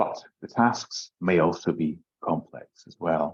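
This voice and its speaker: A man speaks very slowly with a very deep, low pitch. He has a slight Scottish accent. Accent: mild Scottish. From Scotland, Aberdeen. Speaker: English language teacher trainer. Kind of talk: webinar presentation. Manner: hesitant, many fillers.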